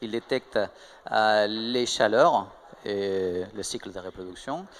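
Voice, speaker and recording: Here a man talks with a strong Spanish accent and ordinary pitch variation. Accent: marked Spanish. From Spain. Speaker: tech startup co-founder. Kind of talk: interview. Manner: hesitant, many fillers.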